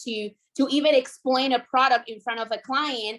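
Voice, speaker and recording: With a strong Puerto Rican accent, a woman speaks at a fairly quick pace and with fairly even intonation in a very clean recording with a silent background. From Puerto Rico. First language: Spanish. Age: 20s. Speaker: insurance sales agent. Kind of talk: training talk.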